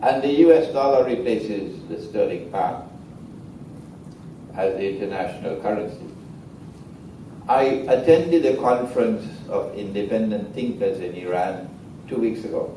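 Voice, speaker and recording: Amid noticeable background noise and audible room echo, a man at medium pitch speaks at a moderate pace with lively intonation and long, frequent pauses. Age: 70s. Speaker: Islamic scholar lecturer. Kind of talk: lecture. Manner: animated.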